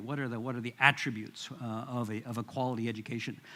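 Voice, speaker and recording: With a Midwestern accent, a man speaks at a fairly quick pace. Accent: American Midwest. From US Midwest. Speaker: international education administrator. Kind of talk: conference presentation. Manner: halting, many fillers and repetitions.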